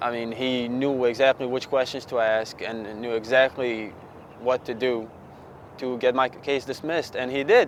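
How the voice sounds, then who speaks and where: Noticeable background noise sits behind a man speaking with a Bosnian accent and fairly even intonation. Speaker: former client. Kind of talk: testimonial interview.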